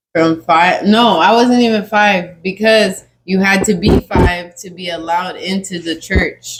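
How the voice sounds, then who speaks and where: Her voice somewhat breathy, a woman talks at a fairly slow pace with fairly even intonation. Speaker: podcast guest. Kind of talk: casual chat.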